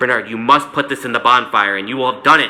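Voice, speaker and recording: Over music in the background, a man does a put-on character voice at a very fast pace, medium pitch and ordinary pitch variation. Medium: read story.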